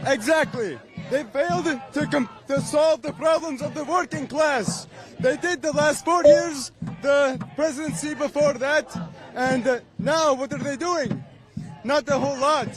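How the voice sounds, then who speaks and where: With a non-native accent, a man speaks at an extremely high pitch and a fairly slow pace, his pitch varying in an ordinary way over noticeable background noise. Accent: foreign. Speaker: protester. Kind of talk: street interview.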